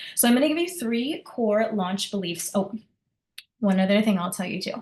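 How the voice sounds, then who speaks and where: Somewhat breathy at a fairly quick pace, a woman talks at a medium pitch with ordinary pitch variation. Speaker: business coach. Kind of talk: group coaching call. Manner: fast; animated.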